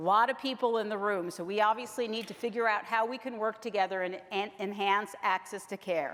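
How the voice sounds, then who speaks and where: This woman has a plain, everyday voice at a medium pitch. She keeps a moderate pace with ordinary pitch variation. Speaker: health plan executive. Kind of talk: conference presentation. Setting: conference room with live audience.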